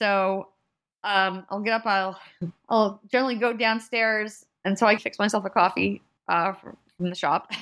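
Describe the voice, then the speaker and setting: A woman with an American accent speaks at medium pitch and a moderate pace, with fairly even intonation and long, frequent pauses. The recording is very clean, with a silent background. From US Northeast, central New Jersey. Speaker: bagel shop owner, former engineer. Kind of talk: casual interview.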